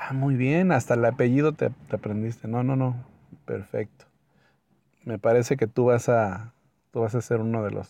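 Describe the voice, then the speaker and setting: At a moderate pace, a man talks in a medium pitch with a dark, mellow tone and ordinary pitch variation. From Mexico. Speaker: podcaster. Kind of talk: personal anecdote storytelling.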